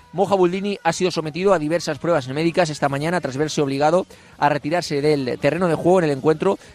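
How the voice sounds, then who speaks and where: Speaking at a fairly quick pace, this unremarkable speaking voice shows ordinary pitch variation. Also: man. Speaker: sports radio host. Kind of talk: live radio show. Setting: outdoors outside club offices.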